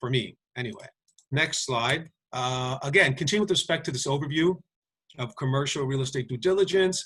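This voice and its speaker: A man speaks at a fairly quick pace. His voice sits at medium pitch with ordinary variation. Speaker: lawyer. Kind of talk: webinar lecture with Q&A. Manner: fast; halting.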